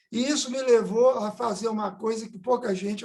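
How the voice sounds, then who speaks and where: A man talking at a moderate pace. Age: 70s. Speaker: physician and environmental activist. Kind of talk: seminar talk, personal testimony.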